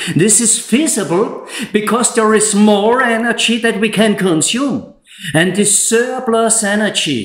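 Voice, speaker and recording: There is audible room echo around a man speaking in an Austrian accent. His pitch is high and his pace very slow. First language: German. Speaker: solar installer and YouTuber. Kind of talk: scripted presentation; tutorial. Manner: less emotional, measured.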